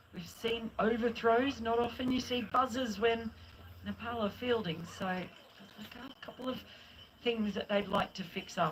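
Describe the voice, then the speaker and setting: With an Australian accent, a woman speaks at a fairly slow pace, her fairly high pitch carried on fairly even intonation. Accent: Australian twang. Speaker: cricket commentator. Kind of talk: live commentary.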